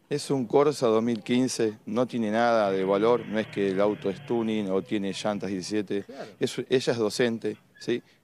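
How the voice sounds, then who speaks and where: A man's fairly low pitch and fairly even intonation at a fairly slow pace, the sound dry with no echo, over light background noise. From Buenos Aires area, Argentina (Lanús); Buenos Aires. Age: 50s. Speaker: crime victim's partner. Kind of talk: live TV street interview. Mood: upset, indignant. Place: street. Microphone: handheld.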